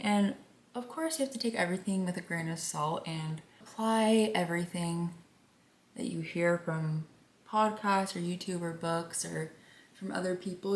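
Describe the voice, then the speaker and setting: A soft-spoken woman talks at medium pitch with ordinary pitch variation. Her pace is moderate. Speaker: beauty vlogger. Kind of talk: casual chat. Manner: quiet.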